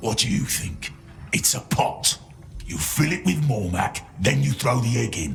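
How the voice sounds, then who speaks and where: A man's growling, put-on character voice at a medium pitch with very wide pitch swings, a moderate pace, and clear background noise. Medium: video game. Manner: curt, scornful.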